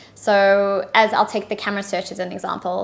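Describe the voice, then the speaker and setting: In a South African accent, a woman speaks at a medium pitch. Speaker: partnerships manager. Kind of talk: interview.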